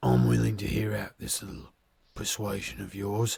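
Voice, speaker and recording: A man does a put-on character voice at a fairly low pitch and a moderate pace. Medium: actual play. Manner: smooth, measured.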